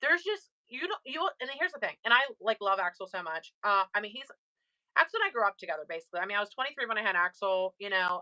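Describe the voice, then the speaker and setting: At a fairly quick pace, a woman speaks at a medium pitch with a bright, sharp tone, in a dry, close sound with no echo. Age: 20s. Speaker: live-stream seller and mother. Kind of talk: casual chat. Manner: fast.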